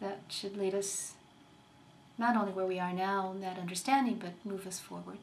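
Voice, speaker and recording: A woman of medium pitch speaks with fairly even intonation, with audible room echo. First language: Spanish. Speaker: community organizer. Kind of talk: interview.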